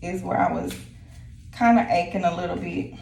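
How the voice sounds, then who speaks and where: The speaker goes at a fairly slow pace. Noticeable background noise and audible room echo come through. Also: woman. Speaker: lifestyle vlogger. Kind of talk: casual vlog chat. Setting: at home. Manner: hesitant with many fillers.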